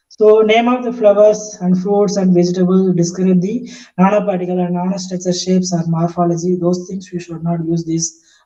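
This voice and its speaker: A man speaks with a high pitch and a dark, mellow tone. Audible room echo surrounds his voice. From India. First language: not English. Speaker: professor. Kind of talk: lecture. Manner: halting, many fillers.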